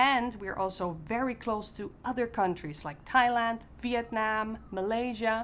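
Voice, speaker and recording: Talking at a fairly slow pace with hardly any pauses, a woman with a Dutch accent has a fairly high pitch and ordinary pitch variation. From Netherlands. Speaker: expat parent. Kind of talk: casual talk to camera.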